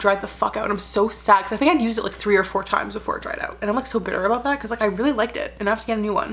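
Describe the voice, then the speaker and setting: A woman's animated, very fast delivery with hardly any pauses, fairly high in pitch with ordinary pitch variation, over music in the background. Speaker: lifestyle vlogger. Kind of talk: casual vlog.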